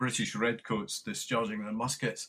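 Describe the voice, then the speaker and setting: Speaking with a Scottish accent, a man has medium pitch, ordinary pitch variation and a moderate pace. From lowland Scotland. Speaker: retired army general and military historian. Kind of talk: interview. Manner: halting, many fillers and repetitions.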